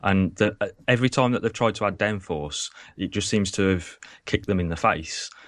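In an English accent, a man speaks at a fairly low pitch with ordinary pitch variation against a quiet background. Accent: quintessentially English. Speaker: F1 technical analyst. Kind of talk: casual chat.

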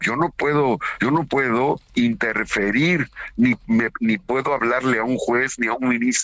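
A man has an ordinary speaking voice at medium pitch with fairly even intonation. He speaks at a fairly slow pace with very even loudness. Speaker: senator. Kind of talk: radio interview.

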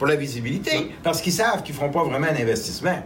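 Speaking in a Quebec accent, a man is heard with audible room echo and noticeable background noise. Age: 60s. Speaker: angel investor. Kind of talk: interview.

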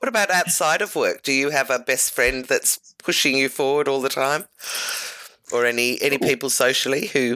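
With a very deep, low pitch and a bright, sharp tone, a woman sounds enthusiastic at a fairly quick pace, using ordinary pitch variation and very even loudness. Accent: Australian. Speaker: podcast host. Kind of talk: interview.

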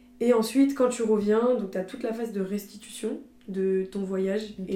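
A woman with a medium pitch speaks at a fairly slow pace. Audible room echo surrounds her voice. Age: 20s. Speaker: student and content creator. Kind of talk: casual chat.

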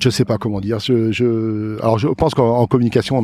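Over noticeable background noise, a man speaks in a fairly low voice with fairly even intonation. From Loire-Atlantique, France (Plessé). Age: 60s. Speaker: farmer. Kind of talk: casual interview. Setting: outdoors in a field.

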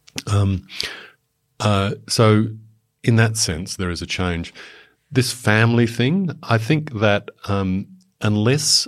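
A man with an Australian accent, very slow in pace, with ordinary pitch variation, in a very clean recording over a silent background. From Papua New Guinea (Australian expatriate upbringing). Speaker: former diplomat. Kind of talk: expert panel discussion. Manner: hesitant, many fillers and restarts.

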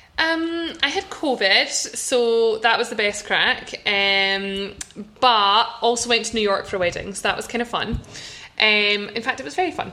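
With a Scottish accent, a woman talks at a fairly high pitch with lively intonation over noticeable background noise. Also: fairly slow pace. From Scotland. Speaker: podcast host, law firm founder. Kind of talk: casual chat podcast. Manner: upbeat, excited.

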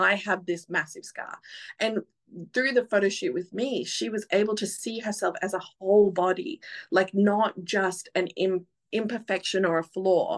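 A woman speaks in an Australian accent at a medium pitch. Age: 30s. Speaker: photographer. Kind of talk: casual chat. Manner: loud.

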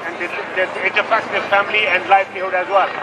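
A man with a high-pitched, raised and projected voice speaks over noticeable background noise. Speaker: surgeon speaking at the rally. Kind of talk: rally speech. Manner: halting, non-native English.

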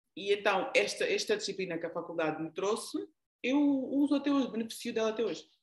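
With lively intonation and a fairly high pitch, a woman speaks at a very fast pace. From Angola, raised largely in the Netherlands. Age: 40s. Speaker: leadership coach. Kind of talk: interview. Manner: halting.

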